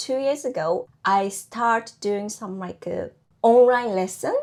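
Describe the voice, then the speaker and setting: The speaker has a Japanese accent and lively intonation. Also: woman. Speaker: housewife and online baking teacher. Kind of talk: interview. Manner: halting.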